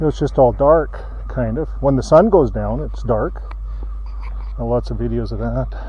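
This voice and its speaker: A man talks at a moderate pace, leaving long, frequent pauses. Noticeable background noise runs behind him. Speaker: ex-Jehovah's Witness channel host. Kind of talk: casual talk to camera on a walk. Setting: outdoors.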